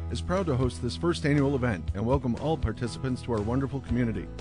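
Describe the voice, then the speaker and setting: Music plays in the background as a man speaks. He goes at a very fast pace with lively intonation. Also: medium pitch for a man. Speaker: voice actor. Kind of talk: event welcome announcement.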